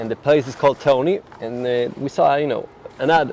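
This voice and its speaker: Fairly quick male speech with ordinary pitch variation amid noticeable background noise. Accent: Finnish. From Finland. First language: Finnish. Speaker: interview guest. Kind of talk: casual interview. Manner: halting, many repetitions.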